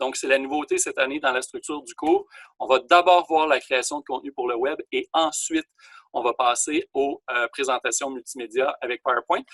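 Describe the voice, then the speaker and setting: A man talks at a moderate pace. The audio is dry and close, with no echo. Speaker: college teacher. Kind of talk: online class lecture. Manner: hesitant with fillers.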